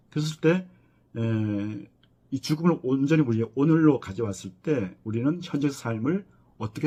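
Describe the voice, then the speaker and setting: A man with a dark, mellow, somewhat breathy tone, lively intonation, and a fairly slow pace. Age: 60s. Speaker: professor of death studies. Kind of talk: lecture. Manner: halting, with many fillers.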